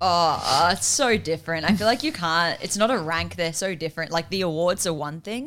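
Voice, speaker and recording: An ordinary speaking voice delivered at a moderate pace. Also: woman, fairly low pitch for a woman, ordinary pitch variation, hardly any pauses. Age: 20s. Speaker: film producer, writer and director. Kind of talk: casual chat.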